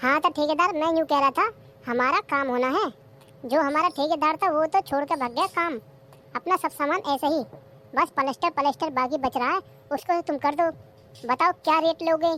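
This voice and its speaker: Using a cartoonish character voice, a woman speaks at a high pitch with ordinary pitch variation. Her pace is fairly quick, and the sound is dry and close with no echo. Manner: plain and businesslike.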